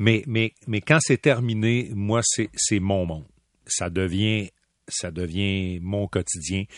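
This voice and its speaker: Against a quiet background, a man with a fairly low pitch talks at a very slow pace with ordinary pitch variation, and the sound is dry and close with no echo. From Quebec City. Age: 50s. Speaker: hockey play-by-play commentator. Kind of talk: interview. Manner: animated.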